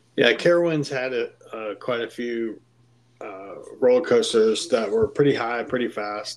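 In an ordinary speaking voice with an American accent, the speaker keeps a moderate pace, ordinary pitch variation and big swings in loudness. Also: man, medium pitch for a man. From Pittsburgh, Pennsylvania. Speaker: podcast guest, host's friend. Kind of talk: casual chat.

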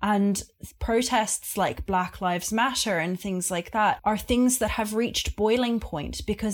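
With an Australian accent, a woman speaks at a medium pitch and a fairly slow pace, her intonation fairly even, in a very clean recording with a silent background. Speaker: podcast guest. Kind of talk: casual conversation.

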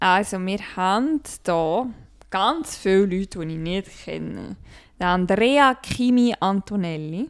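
A woman speaks very slowly with a Swiss accent, medium pitch and lively intonation. The recording is very clean with a silent background. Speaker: podcast co-host. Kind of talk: casual chat.

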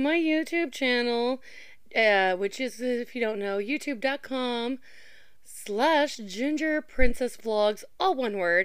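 Lively intonation marks this very slow speaker with an American accent, on a very clean recording with a silent background. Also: woman. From southern Indiana. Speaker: podcaster and aquarium employee. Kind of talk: casual monologue.

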